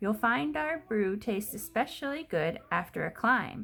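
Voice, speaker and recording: Faint music plays behind a woman doing a put-on character voice at a fairly high pitch and a moderate pace. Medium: read story.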